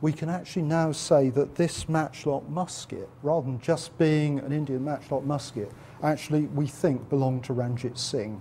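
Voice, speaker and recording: A man talks at a moderate pace with a fairly high pitch and fairly even intonation. He has a plain, everyday voice. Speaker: museum curator. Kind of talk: interview answer.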